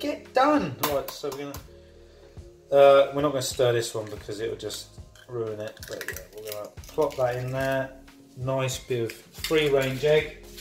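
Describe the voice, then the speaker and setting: The voice moves at a fairly slow pace while clear music is heard behind it. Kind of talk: casual cooking tutorial. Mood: playful, jokey. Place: kitchen. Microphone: phone near.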